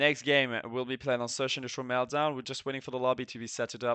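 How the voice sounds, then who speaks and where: A man talks at a medium pitch. He speaks with a French accent. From France. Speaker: esports caster and streamer. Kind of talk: live commentary. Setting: live stream.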